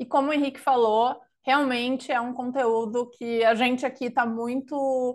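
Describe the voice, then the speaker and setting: With a southern Brazilian accent, this voice moves at a fairly slow pace with fairly even intonation over a quiet background. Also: woman. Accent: gaúcho Brazilian Portuguese. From southern Brazil (Rio Grande do Sul). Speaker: consultancy knowledge lead, webinar presenter. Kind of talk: webinar presentation. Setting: live online webinar.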